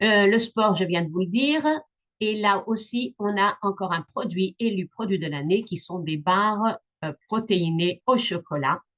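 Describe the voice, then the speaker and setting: The pace is fairly slow and the background quiet. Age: 60s. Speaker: business opportunity presenter. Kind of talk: sales pitch. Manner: hesitant, many fillers.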